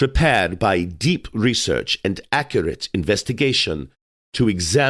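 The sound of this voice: The reading voice is unforced, with lively intonation. Behind it, the background is quiet.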